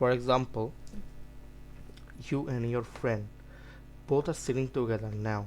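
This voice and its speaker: A medium-pitched man's voice with a non-native accent, fairly slow and fairly even, broken by long, frequent pauses, with music in the background. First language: not English. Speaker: student tutor. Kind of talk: lecture. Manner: halting.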